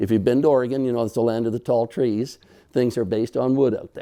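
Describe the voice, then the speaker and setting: This man speaks with a Canadian accent. His voice sits at medium pitch with a dark, mellow tone. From Canada. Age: 60s. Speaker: structural engineer. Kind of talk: public presentation. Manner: animated.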